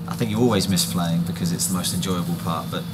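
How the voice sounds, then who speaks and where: A man's very deep, low voice with lively intonation, against noticeable background noise. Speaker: football manager. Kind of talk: interview answer.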